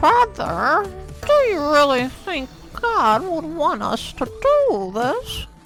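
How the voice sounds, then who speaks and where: A put-on character voice, high in pitch, speaks at a very slow pace over clear music in the background. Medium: read story.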